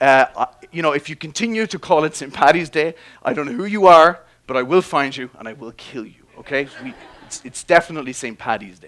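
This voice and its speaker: With an Irish accent, a man's voice sits fairly high in pitch. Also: lively intonation. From Ireland. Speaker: biology professor. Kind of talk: public science talk. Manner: casual, hesitant with fillers.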